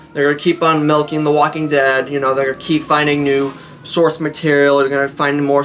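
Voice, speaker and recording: There is noticeable background noise. Over it, a man with a fairly high pitch talks at a fairly quick pace. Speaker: fan commentary youtuber. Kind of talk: casual opinion vlog. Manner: fast; halting, many fillers.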